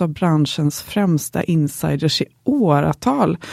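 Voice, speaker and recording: Speaking very slowly in a Swedish accent, a woman has a fairly low pitch and a dark, mellow tone, recorded dry and close with no echo. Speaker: podcast co-host. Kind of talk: scripted intro.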